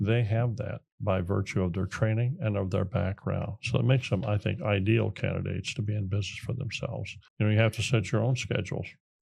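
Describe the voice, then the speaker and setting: A man with an American accent talks at a fairly quick clip, with hardly any pauses. His fairly low voice is somewhat breathy, and his intonation stays fairly even. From small-town America. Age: 70s. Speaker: military veteran and entrepreneur. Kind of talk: interview. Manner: halting, with fillers and restarts.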